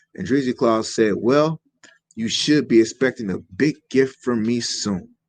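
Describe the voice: Over a quiet background, someone plainly reads aloud with ordinary pitch variation.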